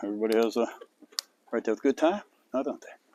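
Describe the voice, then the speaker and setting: Words come very fast from a man. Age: 50s. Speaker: outdoor vlogger. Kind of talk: casual vlog monologue. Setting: outdoors at campsite.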